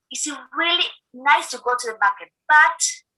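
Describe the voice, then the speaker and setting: Raising and projecting her voice, a woman talks at a moderate pace with a bright, sharp tone. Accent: Spanish. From eastern El Salvador. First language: Spanish. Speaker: food aid program officer. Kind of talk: recorded video interview.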